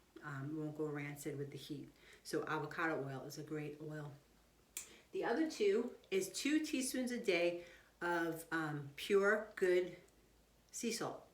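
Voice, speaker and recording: A woman's fairly low voice with lively intonation, a fairly slow pace and long, frequent pauses, in audible room echo. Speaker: health doctor giving nutrition advice. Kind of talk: casual health talk video to viewers.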